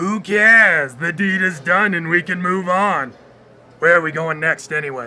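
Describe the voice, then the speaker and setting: Putting on a character voice, a man speaks at a moderate pace in a high pitch. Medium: audio drama. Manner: dry, sarcastic.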